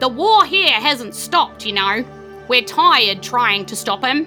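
Over clear background music, a female-sounding, put-on character voice speaks at a high pitch. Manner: sad, tired, longing.

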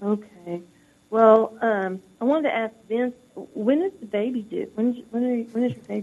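The speaker uses a plain, everyday voice at a moderate pace with ordinary pitch variation. The loudness swings a lot. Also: woman, fairly high pitch for a woman. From US South. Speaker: caller. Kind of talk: call-in comment. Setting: phone call.

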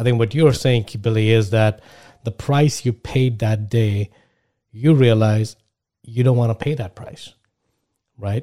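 Pausing long and often, a man speaks at a fairly slow pace and medium pitch in a dark, mellow tone. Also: fairly even intonation. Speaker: podcast host. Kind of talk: casual interview.

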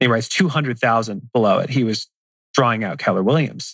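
In a normal speaking voice, a man talks at a fairly quick pace with a medium pitch and ordinary pitch variation. The background is quiet, and the sound is dry and close with no echo. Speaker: podcast co-host interviewer.

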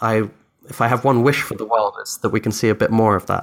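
On a very clean recording with a silent background, a man talks at a medium pitch with fairly even intonation. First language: Dutch. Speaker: software founder. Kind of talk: interview conversation.

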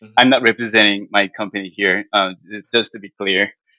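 A man's bright, sharp voice with a Korean accent, dry and close with no echo. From South Korea. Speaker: financial analyst. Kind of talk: interview answers.

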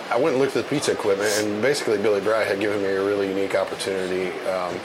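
A man's fairly low voice at a very fast pace, with audible room echo and noticeable background noise. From Seymour, Indiana, US Midwest. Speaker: brewery and restaurant owner. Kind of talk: casual interview chat. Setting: on location at a brewery.

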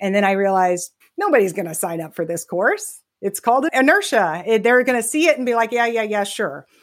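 Her pitch fairly high, a woman with an American accent talks at a fairly quick pace with lively intonation. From Texas. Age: 50s. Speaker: retirement plan consultant. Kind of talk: casual interview chat. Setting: remote call. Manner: animated, fast.

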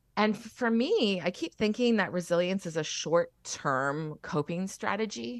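Against a quiet background, a woman with a Canadian accent and a plain, everyday voice speaks at a fairly slow pace in a medium pitch with lively intonation. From Alberta. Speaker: young adult novelist. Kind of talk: interview.

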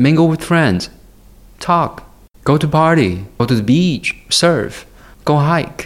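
With a Chinese accent, a man speaks at a fairly high pitch, his voice making very wide pitch swings. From China, Guiyang. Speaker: photographer. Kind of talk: interview.

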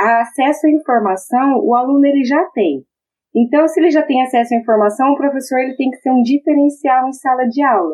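Speaking at a moderate pace, a high-pitched woman keeps her loudness very even and her pitch variation ordinary. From Brazil, Maringá (Paraná). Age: 30s. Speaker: engineering lecturer. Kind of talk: interview.

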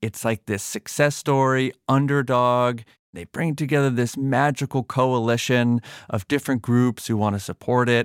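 A man with an American accent uses an unremarkable speaking voice at medium pitch and a moderate pace, with fairly even intonation. The sound is dry and close with no echo, on a very clean recording with a silent background. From Massachusetts. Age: 30s. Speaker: podcast host and journalist. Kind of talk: interview conversation.

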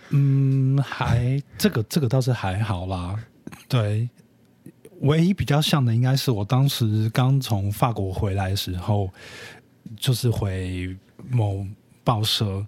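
A man talks at a very slow pace with long, frequent pauses. His pitch is medium with ordinary variation. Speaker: influencer marketing specialist. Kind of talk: casual chat. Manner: quiet, low-energy.

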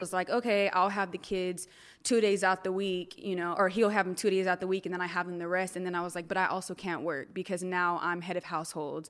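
In a Californian accent, a woman speaks at a very fast pace with monotone, flat intonation. The recording is very clean, with a silent background. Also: medium pitch for a woman. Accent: Californian American. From Northern California (Stockton). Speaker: life and wellness coach. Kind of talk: casual chat. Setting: studio.

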